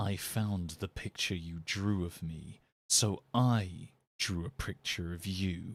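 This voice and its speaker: A man puts on a character voice, pitched very deep and low and delivered at a fairly slow pace. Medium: read story. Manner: slow, quiet.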